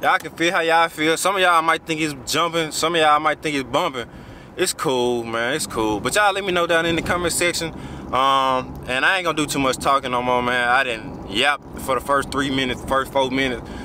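Fairly quick speech from a man with a fairly high pitch and ordinary pitch variation, over noticeable background noise. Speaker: food vlogger. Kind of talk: casual vlog. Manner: animated.

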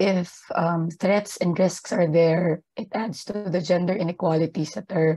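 Somewhat breathy and fairly low for a woman, her voice has a dark, mellow tone, fairly even intonation and a fairly slow pace. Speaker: gender equality advisor at an aid organisation; panelist. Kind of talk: webinar presentation. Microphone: video call.

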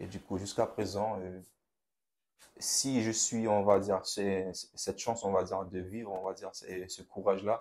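A man's fairly low voice, monotone and flat in intonation. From Haiti. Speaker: young churchgoer. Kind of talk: testimony. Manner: calm and reserved. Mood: reflective, personal testimony. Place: studio. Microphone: lapel.

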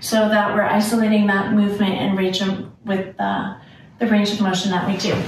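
Light background noise and audible room echo surround a woman talking at a fairly quick pace. Her intonation is monotone and flat. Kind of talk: demonstration tutorial. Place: home room. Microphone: camera far.

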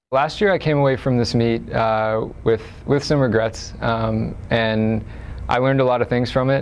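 A man speaks with fairly even intonation over light background noise. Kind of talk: interview answer. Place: studio.

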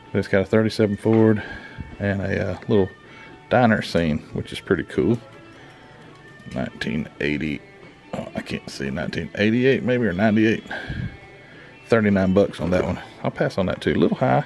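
The speaker has lively intonation and a fairly slow pace, with long, frequent pauses. Music plays in the background. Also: man, fairly low pitch for a man. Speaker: model car hobbyist vlogger. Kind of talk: casual vlog chat. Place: shop. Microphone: phone near.

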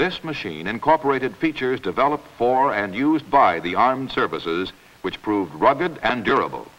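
A man at medium pitch talks at a fairly quick pace, his pitch swinging very widely. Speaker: commercial film narrator. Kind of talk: vintage commercial narration, scripted promotional voice-over. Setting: studio voice-over on 1949 film. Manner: formal, measured, authoritative announcer delivery; polished and even, typical of 1940s industrial film. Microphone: old recording.

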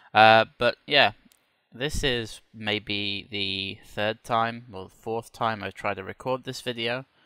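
In a British accent, a man speaks very slowly at a medium pitch with a bright, sharp tone and big swings in loudness, in a dry, close sound with no echo. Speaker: flight simulator YouTuber. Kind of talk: tutorial. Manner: casual with many fillers.

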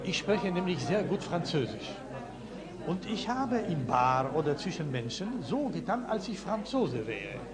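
A high-pitched man's voice with very wide pitch swings over loud background noise. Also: moderate pace. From Poland. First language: Polish (speaking German). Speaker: audience member in discussion. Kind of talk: group discussion. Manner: hesitant. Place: home room. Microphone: old recording.

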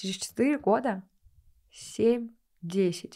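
A woman's voice with a dark, mellow tone and ordinary pitch variation over a quiet background. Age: 20s. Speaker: sales mentor and blogger; podcast guest. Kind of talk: podcast interview. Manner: animated. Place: studio. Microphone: studio mic.

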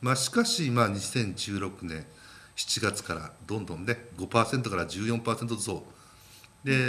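A man talking at a very fast pace, medium pitch, ordinary pitch variation, with noticeable background noise. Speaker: market strategist guest. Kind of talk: market commentary explanation on TV.

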